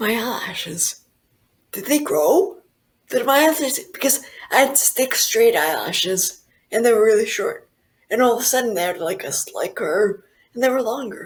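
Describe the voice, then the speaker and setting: Very wide pitch swings in a woman's high voice. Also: moderate pace. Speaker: stroke survivor sharing diet recovery story. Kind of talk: interview testimony. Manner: animated.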